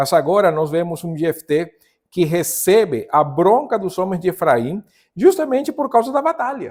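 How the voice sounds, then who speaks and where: Against a silent background in a very clean recording, a man with a strong non-native accent speaks at a high pitch with lively intonation. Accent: strong foreign accent in Portuguese. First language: Spanish (speaking Portuguese). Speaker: pastor / Bible teacher. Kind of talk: Bible study lesson. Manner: halting, self-correcting.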